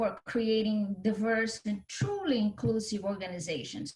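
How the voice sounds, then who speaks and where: In a Brazilian accent, a woman speaks at a moderate pace in a fairly high pitch, with ordinary pitch variation. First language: Portuguese. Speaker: author and cultural differences teacher. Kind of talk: podcast interview.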